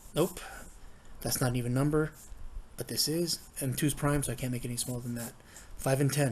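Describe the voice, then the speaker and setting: A man with a fairly high, somewhat breathy voice talks at a very fast pace with fairly even intonation. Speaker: math teacher. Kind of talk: tutorial.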